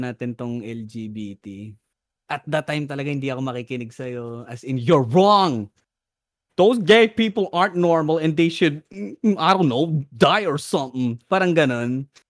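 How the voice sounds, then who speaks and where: With a plain, everyday voice, a man speaks at a moderate pace, fairly high in pitch with lively intonation, in a dry, close sound with no echo. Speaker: podcast host. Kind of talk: casual chat.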